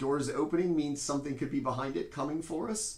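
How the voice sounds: A man speaks at a fairly high pitch with lively intonation.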